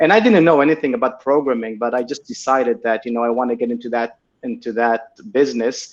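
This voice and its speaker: Speaking at a very fast pace, a man with an Israeli accent uses a medium pitch and ordinary pitch variation. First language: Hebrew. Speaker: tech entrepreneur. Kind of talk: interview.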